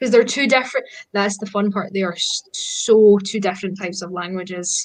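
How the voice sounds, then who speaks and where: In a Scottish accent, a woman talks at a fairly quick pace. Her pitch is medium and her intonation fairly even. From Scotland. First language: Scottish Gaelic. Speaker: pagan practitioner. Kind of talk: casual chat.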